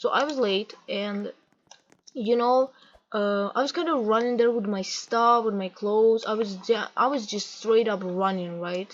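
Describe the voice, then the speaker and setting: A woman with a non-native accent, fairly high-pitched, speaking at a fairly slow pace with ordinary pitch variation. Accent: non-native English accent, self-described. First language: not English. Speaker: gaming vlogger. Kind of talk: casual rant over gameplay. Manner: halting, self-correcting.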